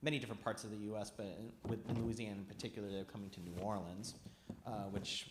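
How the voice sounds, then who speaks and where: With a Midwestern accent, a man talks in a flat monotone at a fairly low pitch. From US Midwest, Highland Park near Chicago. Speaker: archivist and historian. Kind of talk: public talk to an audience. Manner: halting, many fillers.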